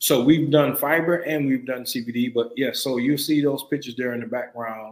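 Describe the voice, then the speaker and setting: A man talks with a South Carolina accent. His intonation stays fairly even. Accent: Southern US (South Carolina). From US South, rural South Carolina. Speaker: hemp farmer. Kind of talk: interview.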